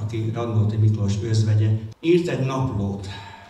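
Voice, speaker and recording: A man talks at a very slow pace with fairly even intonation. Noticeable background noise and audible room echo surround his voice. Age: 70s. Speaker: musician and performer. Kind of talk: stage introduction to a literary-musical show. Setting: stage with audience.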